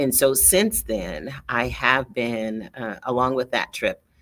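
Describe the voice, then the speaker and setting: A woman with a very deep, low pitch speaks with vocal fry and ordinary pitch variation. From US Midwest (Michigan). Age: 60s. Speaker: coach and entrepreneur, online show host. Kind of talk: monologue to camera. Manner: hesitant fillers, repeats words.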